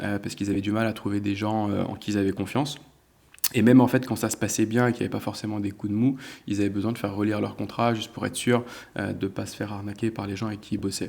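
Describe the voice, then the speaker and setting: A man speaks at a very fast pace in a fairly low pitch, his intonation flat and monotone. The recording is very clean, with a silent background. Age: 30s. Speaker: sports agent. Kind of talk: interview.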